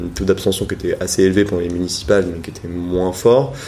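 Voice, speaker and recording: It's a man's voice. He talks at a very fast pace. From Brittany, France. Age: 20s. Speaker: youth political organizer. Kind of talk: interview. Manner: hesitant, many fillers.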